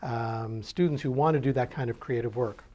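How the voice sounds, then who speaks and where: A man's somewhat breathy, dark, mellow voice at a fairly quick pace, with ordinary pitch variation. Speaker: university dean. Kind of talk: interview answer.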